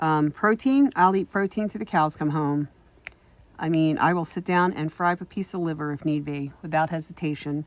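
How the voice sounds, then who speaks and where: A woman with a very deep, low voice talks at a moderate pace with ordinary pitch variation, recorded very cleanly against a silent background. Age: 60s. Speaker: diamond painting crafter vlogger. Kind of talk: casual chat. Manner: hesitant, many filler words.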